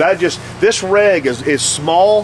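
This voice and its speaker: A man speaks against noticeable background noise. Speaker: paintball product tech presenter. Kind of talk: tutorial. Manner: fast; halting, repeats words.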